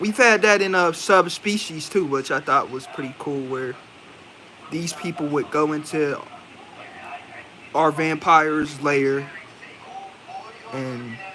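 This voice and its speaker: Over noticeable background noise, a man with a fairly high pitch talks at a very slow pace with long, frequent pauses and ordinary pitch variation. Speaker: movie reviewer. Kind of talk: casual live stream review. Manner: casual, rambling with fillers.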